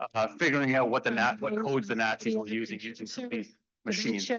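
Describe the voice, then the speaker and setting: Loud and very fast, a man talks with very wide pitch swings. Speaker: computer science professor. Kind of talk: lecture.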